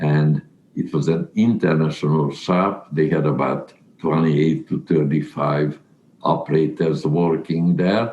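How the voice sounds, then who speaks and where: Speaking at a fairly slow pace, a man with a Central European accent has a very deep, low pitch, fairly even intonation and very even loudness. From Czechoslovakia, Carpathian region. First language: not English (Czech/Hungarian region). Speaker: Holocaust survivor. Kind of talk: life story interview. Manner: halting.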